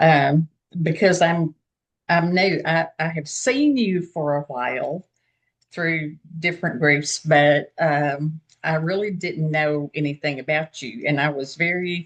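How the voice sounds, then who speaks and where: Very slowly, a woman speaks in a Southern US accent with a very deep, low pitch and ordinary pitch variation. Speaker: group participant. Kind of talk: casual group chat.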